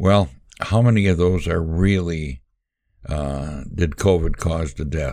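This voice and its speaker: Very slowly, a man talks in a very deep, low voice with a dark, mellow tone and ordinary pitch variation. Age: 80s+. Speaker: podcast host. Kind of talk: solo monologue commentary. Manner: halting, many filler words.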